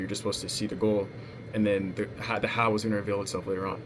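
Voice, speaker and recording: A man talks at a very fast pace with a fairly low pitch. Noticeable noise runs in the background. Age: 20s. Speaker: sales coach and vlogger. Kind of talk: casual personal vlog monologue. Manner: hesitant, many fillers.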